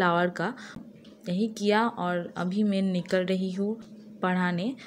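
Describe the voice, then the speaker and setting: Her medium-pitched voice stays monotone and flat as the woman speaks. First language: Bengali (speaking Hindi). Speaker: vlogger. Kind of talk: casual vlog narration. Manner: halting, many fillers.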